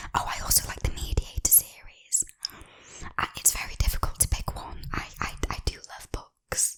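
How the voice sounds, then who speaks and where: Whispering comes at a fairly slow pace. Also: woman. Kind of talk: ASMR get-to-know-me chat to camera. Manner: whispered, soft-spoken.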